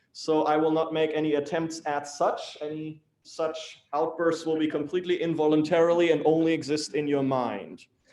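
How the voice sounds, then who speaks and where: A man with a German accent, a fairly high pitch, and monotone, flat intonation. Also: moderate pace, hardly any pauses. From Germany, Hamburg. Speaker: civil engineer. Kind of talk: lecture.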